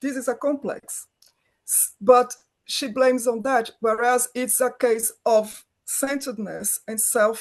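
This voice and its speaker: A woman's high voice in a Brazilian accent, monotone and flat, at a very slow pace. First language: Portuguese. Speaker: film director, writer, producer. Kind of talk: interview answer.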